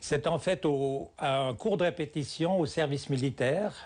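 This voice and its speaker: Against a quiet background, a man speaks very slowly in a somewhat breathy voice. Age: 70s. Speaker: hang-gliding pioneer. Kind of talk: interview testimony. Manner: halting, with repetitions.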